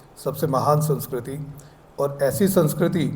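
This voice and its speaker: With fairly even intonation and audible room echo, a man talks at a fairly high pitch. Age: 60s. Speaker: retired public relations officer and former broadcaster. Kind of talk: award ceremony speech. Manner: formal, with hesitations.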